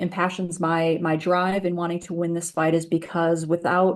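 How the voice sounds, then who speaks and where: Against a quiet background, a woman speaks in an American accent. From Boston, US. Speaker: environmental justice organizer. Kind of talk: presentation. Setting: video call.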